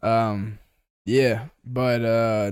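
A man speaks. He has a Southern US accent. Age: 20s. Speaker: podcast co-host. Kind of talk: casual chat. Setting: tea shop.

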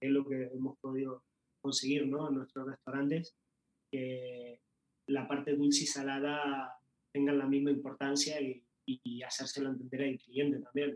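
A man's fairly high voice in monotone, flat intonation. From Uruguay. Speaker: pastry chef. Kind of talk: interview.

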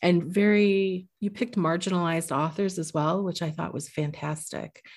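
Over a very clean recording with a silent background, a woman with an American accent uses an ordinary speaking voice, fairly low in pitch with ordinary pitch variation, at a moderate pace. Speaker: podcast host, librarian. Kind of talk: casual interview chat.

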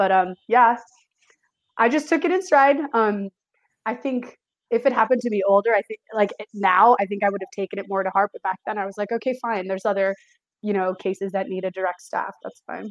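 A woman talks at a fairly quick pace in a medium pitch with ordinary pitch variation and an unremarkable speaking voice. The sound is dry and close, with no echo. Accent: American. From San Francisco Bay Area, California. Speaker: behavior analysis student. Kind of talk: casual chat.

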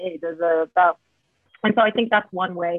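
A woman with an American accent at a moderate pace. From US West Coast, San Jose (Bay Area). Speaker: mental health advocate, sorority member. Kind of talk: casual chat.

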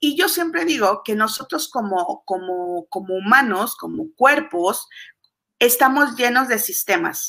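A bright, sharp tone with very wide pitch swings at a fairly slow pace. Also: woman, high pitch for a woman. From Mexico. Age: 40s. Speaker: business coach. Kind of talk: interview. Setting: video call.

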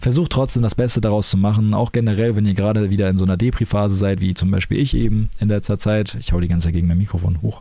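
Fairly low in pitch, a man speaks at a very fast pace with hardly any pauses, very even loudness and fairly even intonation. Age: 20s. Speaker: podcaster and streamer. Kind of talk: casual solo monologue. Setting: home recording in his room.

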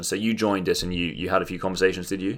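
Over a silent background in a very clean recording, a man talks at a very fast pace with ordinary pitch variation. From London. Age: 20s. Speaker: podcast co-host. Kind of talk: casual chat. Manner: animated.

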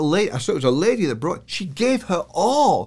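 Very wide pitch swings mark this man's high voice, delivered with a northern English accent. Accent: British, northern English. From northern England, Yorkshire Dales. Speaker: church elder and businessman. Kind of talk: interview chat, with prayer.

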